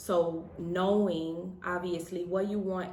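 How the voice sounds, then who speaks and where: A woman with a fairly low pitch at a very slow pace, in monotone, flat intonation, with audible room echo. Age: 30s. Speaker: married couple vlogger. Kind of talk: casual chat.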